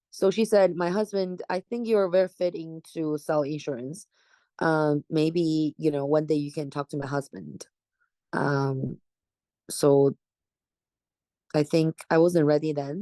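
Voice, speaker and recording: Speaking with a Chinese accent, a woman has a very deep, low pitch and a dark, mellow tone. Her fairly slow delivery has long, frequent pauses and ordinary pitch variation, in a dry, close sound with no echo. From China, Jilin province. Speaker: real estate agent. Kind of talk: oral history interview answer.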